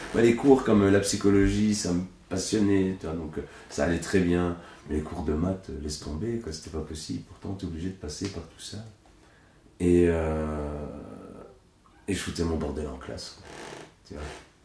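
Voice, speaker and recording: Noticeable room echo, long and frequent pauses, ordinary pitch variation, big loudness swings, and a moderate pace. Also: man, very deep, low pitch for a man. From Belgium, Hainaut (La Buissière). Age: 30s. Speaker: puppeteer. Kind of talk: casual interview. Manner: casual, hesitant with fillers.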